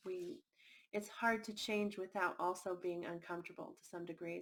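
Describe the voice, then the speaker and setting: A soft-spoken woman talks at a moderate pace. Her medium-pitched voice has fairly even intonation. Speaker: tarot reader. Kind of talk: tarot reading.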